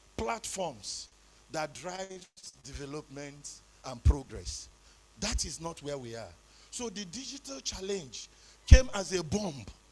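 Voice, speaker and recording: With a Nigerian accent, the voice has a dark, mellow tone and vocal fry, moving at a fairly slow pace with long, frequent pauses. Its pitch swings very widely and its loudness shifts in big swings. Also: man, fairly high pitch for a man. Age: 60s. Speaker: conference speaker. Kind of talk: conference talk.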